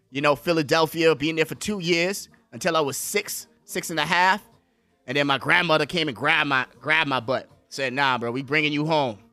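Music in the background behind a man's fairly high voice, fairly quick pace, and ordinary pitch variation. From Bahamas, born in the Bronx. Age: 20s. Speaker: podcast host. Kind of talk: casual chat. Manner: animated.

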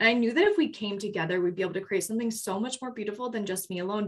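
A woman's voice with ordinary pitch variation. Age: 20s. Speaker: podcast co-host, group facilitator. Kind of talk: casual chat.

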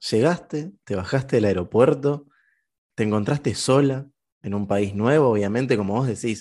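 Over a quiet background, a man with a dark, mellow tone speaks at a moderate pace and medium pitch, with ordinary pitch variation. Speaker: podcast co-host. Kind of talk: casual interview chat.

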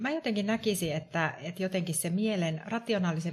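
Somewhat breathy, the voice comes across on a very clean recording with a silent background. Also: woman. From Tampere, Finland. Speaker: wellbeing coach and HR consultant. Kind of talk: casual chat.

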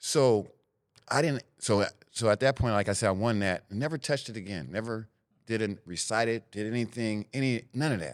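On a very clean recording with a silent background, the speaker talks at a moderate pace in a Northern California accent with ordinary pitch variation. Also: man, medium pitch for a man. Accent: Northern California urban American English. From Sacramento, California, US. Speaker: former gang member turned mentor. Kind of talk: interview.

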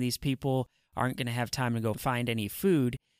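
In a dry, close sound with no echo and a silent background on a very clean recording, a man with an ordinary speaking voice talks at a fairly quick pace in a medium pitch. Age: 40s. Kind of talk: devotional teaching monologue.

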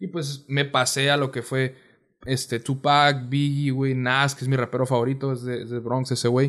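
A man at a fairly slow pace, in a monotone, flat intonation. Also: medium pitch for a man. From Mexicali, Baja California, Mexico. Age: 20s. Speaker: musician. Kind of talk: casual chat.

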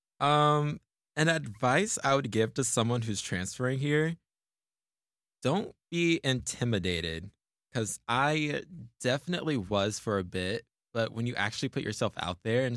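Recorded with a dry, close sound and no echo, a man speaks at a fairly slow pace with lively intonation. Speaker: college student, podcast co-host. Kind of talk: casual chat.

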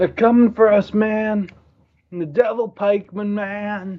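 A man's put-on character voice, drawling and pitched high. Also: fairly slow pace. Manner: stoner drawl, repeating "man", paranoid.

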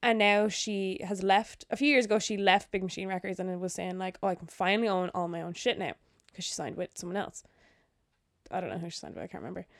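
Speaking in an Irish accent at a very fast pace, a woman at medium pitch keeps fairly even intonation but shows big swings in loudness. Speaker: podcast co-host. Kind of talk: casual chat. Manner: giggly.

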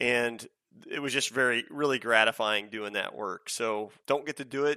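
With an American accent, a man talks at a moderate pace in a medium pitch, his tone bright and sharp, the sound dry and close with no echo and the background quiet. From Georgia, US. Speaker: army veteran and government worker. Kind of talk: coaching conversation. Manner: halting.

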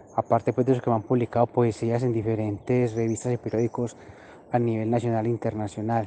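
A man with a dark, mellow tone talks very fast at a medium pitch in a monotone, flat delivery, the sound dry and close with no echo. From Colombia, Frontino in western Antioquia. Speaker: poet and songwriter. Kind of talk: personal interview monologue. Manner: hesitant with frequent fillers.

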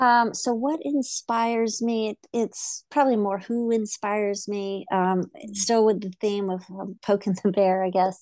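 A woman speaks in an unremarkable speaking voice at a medium pitch and a fairly slow pace, with fairly even intonation and hardly any pauses. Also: quiet background. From US South. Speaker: nonprofit founder, girls' running program. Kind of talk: casual interview conversation.

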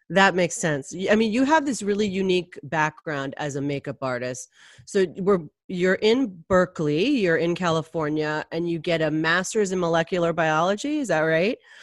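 A woman with an ordinary speaking voice talks at a fairly low pitch with lively intonation. The recording is very clean, with a silent background. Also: moderate pace. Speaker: podcast host and magazine editor. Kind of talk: interview, casual conversation.

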